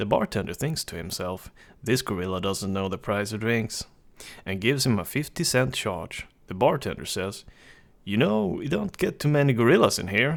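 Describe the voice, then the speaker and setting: The recording is very clean with a silent background as a man with a fairly low pitch speaks at a moderate pace with lively intonation. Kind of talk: reading jokes aloud for a microphone test. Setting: recorded on a USB desktop microphone. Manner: calm.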